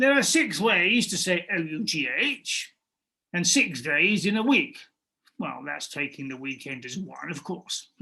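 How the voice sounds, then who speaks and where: A gruff, put-on character voice at a middle pitch, at a fairly slow pace. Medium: read story. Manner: calm.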